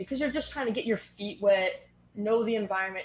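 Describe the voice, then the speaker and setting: The speaker is a woman with an American accent. She talks at a moderate pace. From Boston area, US. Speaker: strength and fitness coach. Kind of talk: podcast interview.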